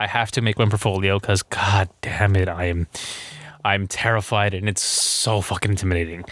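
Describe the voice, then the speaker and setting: A man's fairly low pitch with a bright, sharp tone. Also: dry, close sound with no echo. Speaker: podcast host. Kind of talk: casual monologue. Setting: home studio. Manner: fast.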